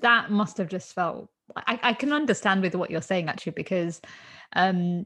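In a normal speaking voice, a woman talks at a fairly quick pace and medium pitch with ordinary pitch variation, over a quiet background. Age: 30s. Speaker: podcast host. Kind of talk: interview chat.

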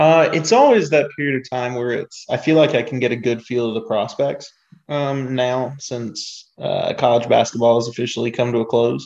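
Here a man with an ordinary speaking voice talks at a moderate pace, medium in pitch, with fairly even intonation. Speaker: podcast co-host. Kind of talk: casual chat.

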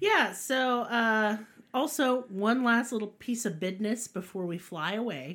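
A woman's fairly high, animated voice with lively intonation at a fairly slow pace. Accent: Southern US. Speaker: podcast host. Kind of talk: casual chat, comedic storytelling. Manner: animated, irreverent, profane.

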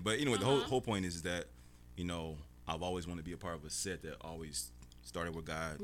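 A man talks very fast at a very deep, low pitch. His voice has vocal fry and ordinary pitch variation. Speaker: radio show guest, film industry worker. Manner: casual, conversational.

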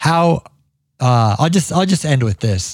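An animated, enthusiastic man with a slight Ohio accent. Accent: slight Ohio accent showing. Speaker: podcast host, landscaping business owner. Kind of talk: casual interview chat.

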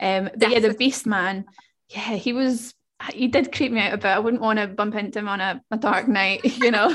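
In a normal speaking voice, a woman with a fairly high pitch and ordinary pitch variation talks at a moderate pace. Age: 20s. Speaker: podcast host. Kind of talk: casual chat.

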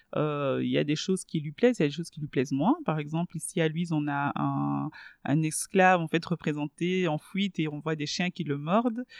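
At a moderate pace with ordinary pitch variation, the voice comes across dry and close with no echo against a quiet background. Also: woman, very deep, low pitch for a woman. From Belgium (Brussels), born in DR Congo. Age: 30s. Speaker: journalist and radio host. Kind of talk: casual interview.

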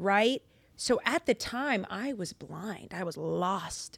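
A woman's medium-pitched voice with lively intonation and vocal fry, dry and close with no echo, on a very clean recording with a silent background. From Lynn, Massachusetts (Boston area), US. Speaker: actor and Bible podcast host. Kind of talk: casual chat.

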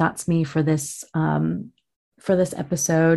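Against a quiet background, a woman speaks in a dark, mellow tone that is somewhat breathy. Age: 30s. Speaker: podcast host. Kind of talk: solo monologue.

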